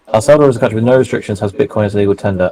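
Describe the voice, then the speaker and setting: Ordinary pitch variation marks the speech of a man with a London accent. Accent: southern English (London). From England. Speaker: co-host of trading livestream. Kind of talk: casual chat.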